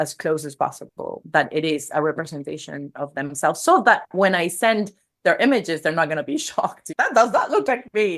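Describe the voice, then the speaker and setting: Speaking with a Spanish accent, a woman uses a fairly low pitch. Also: very clean recording, silent background. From Venezuela. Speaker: personal brand strategist and photographer. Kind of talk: podcast interview. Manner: casual, with frequent fillers and repetitions.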